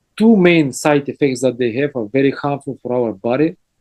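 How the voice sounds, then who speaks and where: With a Bulgarian accent, a man at medium pitch speaks with ordinary pitch variation in a dry, close sound with no echo. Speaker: health lecturer. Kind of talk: lecture. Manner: halting.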